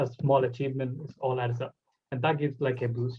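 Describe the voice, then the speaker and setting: Somewhat breathy and monotone, a man of medium pitch speaks flatly with a Bengali accent. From Bangladesh. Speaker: podcast host. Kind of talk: casual chat.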